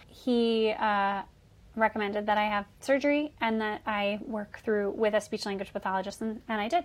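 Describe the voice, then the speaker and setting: In an American accent, a woman speaks at a moderate pace and fairly high pitch in a plain, everyday voice. The recording is very clean, with a silent background. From Michigan. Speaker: musical theatre singer. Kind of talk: interview.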